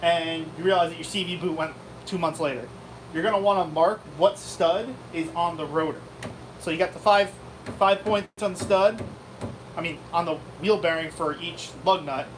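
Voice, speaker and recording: Amid noticeable background noise, a high-pitched man speaks at a moderate pace with long, frequent pauses. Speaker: car repair channel co-host. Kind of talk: live stream chat. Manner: halting.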